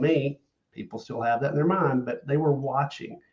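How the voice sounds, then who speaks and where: A man speaks with a Southern US accent at a fairly high pitch. His somewhat breathy voice moves at a fairly quick pace with ordinary pitch variation. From US South. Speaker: loan officer and social media content creator. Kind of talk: podcast interview.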